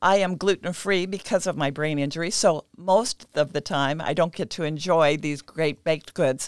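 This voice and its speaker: In a very clean recording with a silent background, an ordinary speaking voice with an American accent moves at a moderate pace. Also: woman, dry, close sound with no echo. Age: 60s. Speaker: nutritionist. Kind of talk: interview. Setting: studio.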